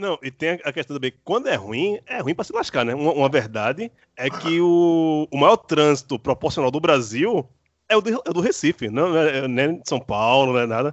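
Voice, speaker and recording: A man with an unremarkable speaking voice, fairly high in pitch, lively in intonation, at a moderate pace. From Pernambuco, Brazil (Candeias). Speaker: podcast host, journalist. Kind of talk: casual chat; scripted narration.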